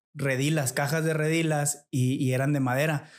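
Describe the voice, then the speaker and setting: Flat and monotone, a man with a fairly high pitch talks at a fairly slow pace in a very clean recording with a silent background. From Nuevo León, Mexico (Montemorelos). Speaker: businessman. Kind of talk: casual interview.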